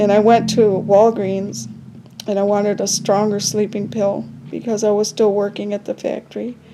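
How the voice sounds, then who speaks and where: Over noticeable background noise, a woman with an American accent speaks in a monotone, flat intonation. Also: medium pitch for a woman, moderate pace. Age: 70s. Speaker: vlogger. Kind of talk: casual personal story. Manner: halting.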